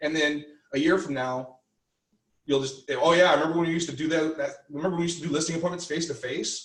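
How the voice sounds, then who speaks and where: Talking at a very fast pace, a man with a fairly high voice keeps his intonation fairly even, and audible room echo surrounds him. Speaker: real estate team leader and trainer. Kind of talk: training lecture. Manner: loud.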